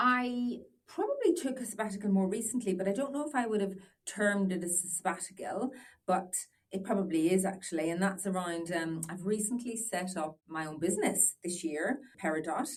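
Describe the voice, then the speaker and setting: A woman talks in an Irish accent at a fairly quick pace. Her medium-pitched voice is somewhat breathy, with ordinary pitch variation. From Northern Ireland. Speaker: business owner. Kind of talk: podcast interview. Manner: hesitant, many fillers.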